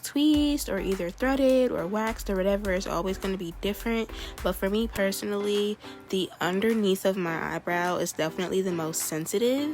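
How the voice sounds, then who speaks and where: Over music in the background, a woman with an American accent talks at medium pitch and a fairly quick pace, with ordinary pitch variation. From Maryland. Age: 20s. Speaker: beauty YouTuber. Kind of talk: casual tutorial talk to camera.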